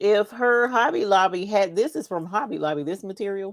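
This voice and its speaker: With an American accent, a woman speaks at a moderate pace, her medium pitch showing ordinary variation. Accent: Southern, usually toned down. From North Carolina (Charlotte). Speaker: crafting YouTuber. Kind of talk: casual chat during livestream.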